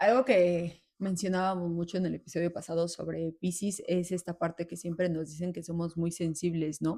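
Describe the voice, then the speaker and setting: A woman's dark, mellow tone in monotone, flat intonation at a moderate pace, with hardly any pauses. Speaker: therapist, podcast co-host. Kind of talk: casual chat. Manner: loud, can sound like scolding.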